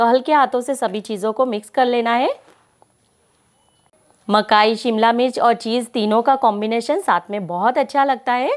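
Against a quiet background, a woman talks at a fairly slow pace with long, frequent pauses. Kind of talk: tutorial.

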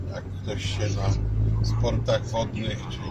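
Loud background noise runs under this recording. A man speaks over it at a very slow pace. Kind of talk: casual vlog chat. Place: car. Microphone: phone near.

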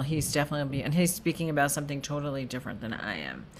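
A woman with a very deep, low voice and ordinary pitch variation speaks over light background noise. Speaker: rabbi giving online class. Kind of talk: lecture. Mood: friendly, upbeat. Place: home room. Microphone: webcam.

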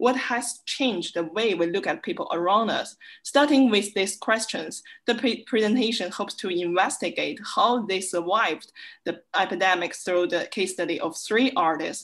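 A woman's lively intonation comes through as she talks at a moderate pace. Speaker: visiting research fellow; presenter. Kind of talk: academic conference presentation. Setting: video call. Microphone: webcam.

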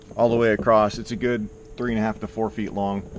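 A man with a fairly low voice talks at a fairly quick pace. The sound is dry with no echo, though background noise is noticeable. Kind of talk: casual vlog chat. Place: garden. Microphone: phone near.

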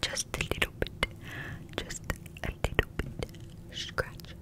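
Very slow, whispered words come from a woman. She barely speaks above a breath. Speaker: ASMR creator. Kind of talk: ASMR trigger words. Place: home room. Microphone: studio mic.

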